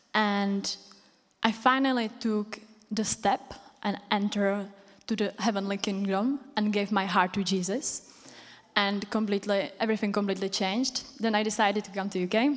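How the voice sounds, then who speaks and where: A woman with a Czech accent speaks with fairly even intonation. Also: medium pitch for a woman, moderate pace. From Czech Republic. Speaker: church member sharing testimony. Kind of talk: personal testimony. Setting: stage with audience in church.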